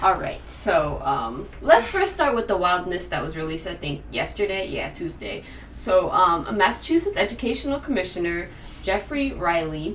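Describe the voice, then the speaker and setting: Over noticeable background noise and audible room echo, a woman speaks at a moderate pace with big swings in loudness. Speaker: podcast co-host. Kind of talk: casual chat.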